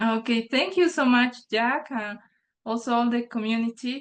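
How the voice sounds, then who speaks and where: A very slow-paced woman's voice, fairly high in pitch, with a Spanish accent. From Bolivia. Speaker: nature journaling guide author. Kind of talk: online workshop remarks. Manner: halting, repeats words.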